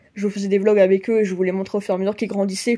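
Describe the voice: This woman's voice sits at a medium pitch, with a dark, mellow tone and a nasal quality.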